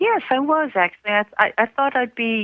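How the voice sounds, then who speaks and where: A woman's intonation is lively. Background music plays while she talks. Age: 80s+. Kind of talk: interview answer. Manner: wry, humorous.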